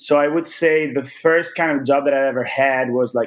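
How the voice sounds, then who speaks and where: Here a man speaks with an American accent at a moderate pace. His intonation is monotone and flat. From Italy, rural area north of Venice. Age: 20s. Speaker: guest, works at education and consulting company. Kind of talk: interview conversation.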